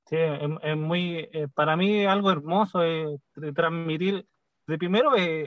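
A man does the talking. His pitch rises and falls in an ordinary way. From Chile. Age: 40s. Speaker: band percussionist. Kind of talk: interview.

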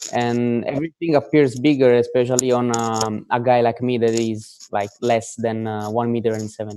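Speaking with an Italian accent, a man keeps a medium pitch and fairly even intonation, leaving hardly any pauses. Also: moderate pace. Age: 20s. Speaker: calisthenics athlete. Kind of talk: interview. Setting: video call.

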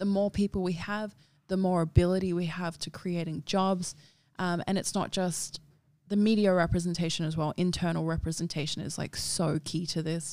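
In a very clean recording with a silent background, a woman with a fairly low voice talks at a moderate pace with flat, monotone intonation. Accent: Australian. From Darwin, Northern Territory, Australia. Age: 20s. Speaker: model and activist. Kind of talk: casual chat.

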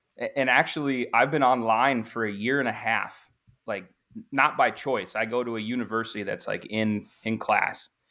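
An ordinary speaking voice at a moderate pace, with fairly even intonation, over a quiet background. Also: man. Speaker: former Marine. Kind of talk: casual chat. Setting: video call.

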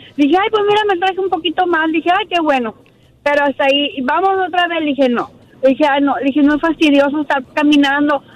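Over noticeable background noise, a woman talks at a very fast pace in a high pitch. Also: ordinary pitch variation. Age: 30s. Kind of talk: casual phone-in chat. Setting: phone call.

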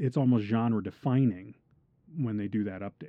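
His pitch sits in the medium range. This man's intonation is fairly even. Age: 40s. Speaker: podcast host. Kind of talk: casual chat.

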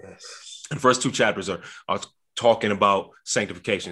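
Against a quiet background, the voice is bright and sharp in tone, with ordinary pitch variation. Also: man. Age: 20s. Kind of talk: faith discussion podcast.

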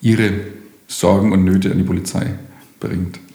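A man with a Franconian accent speaks in a very deep, low pitch and a fairly even intonation, with noticeable background noise and audible room echo. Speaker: police station chief. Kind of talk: interview. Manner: formal.

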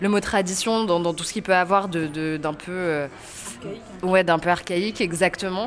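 Her medium pitch carries ordinary pitch variation as the woman speaks. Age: 30s. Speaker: novelist. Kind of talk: interview. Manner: halting.

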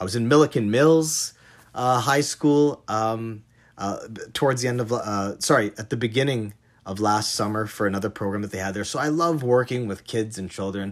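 In a plain, everyday voice with a Canadian accent, a man talks at a moderate pace, his medium pitch showing ordinary variation. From Canada, Toronto area. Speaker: chef. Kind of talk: recorded monologue.

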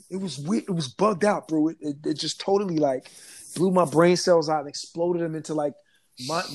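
A man's animated, fairly high-pitched voice with an American accent, ordinary pitch variation and a fairly quick pace, in a very clean recording with a silent background. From New Jersey, Trenton. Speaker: dancer and dance teacher. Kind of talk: casual interview.

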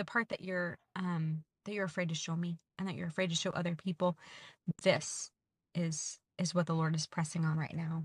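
A woman's somewhat breathy voice with an American accent, fairly low in pitch, monotone and flat, at a moderate pace, on a very clean recording with a silent background and a dry, close sound with no echo. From Georgia, US South. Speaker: podcast host and trip leader. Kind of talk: casual chat.

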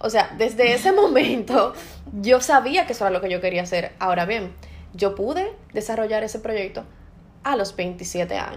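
Here is a woman with an ordinary speaking voice and a fairly high pitch. She talks at a moderate pace with lively intonation. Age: 30s. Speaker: podcast host and entrepreneur. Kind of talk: casual chat.

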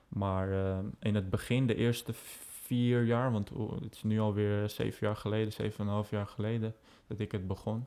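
A man's fairly low voice, dark and mellow, with monotone, flat intonation at a moderate pace. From Netherlands, Amsterdam. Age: 20s. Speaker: aviation social media founder. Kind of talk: casual interview chat.

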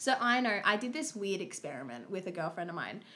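Speaking with lively intonation, a woman has an unremarkable speaking voice at a medium pitch. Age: 20s. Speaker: podcast co-host. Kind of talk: casual chat.

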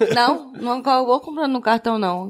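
The speaker is a woman with ordinary pitch variation. She talks at a moderate pace. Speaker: podcaster. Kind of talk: casual chat. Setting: recording at home sharing one mic with partner.

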